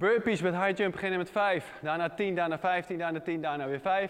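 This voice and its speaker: Against a quiet background, a man speaks at a moderate pace with a high voice. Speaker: fitness trainer. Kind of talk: tutorial. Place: gym.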